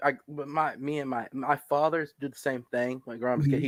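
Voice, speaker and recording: Using a normal speaking voice, a man with an American accent talks at a fairly quick pace and fairly high pitch. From Southern US.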